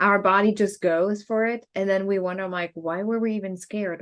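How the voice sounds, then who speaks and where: With a German accent, a woman speaks at a medium pitch and a moderate pace in a monotone, flat intonation over a quiet background. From Germany. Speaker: podcast co-host. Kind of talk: casual chat.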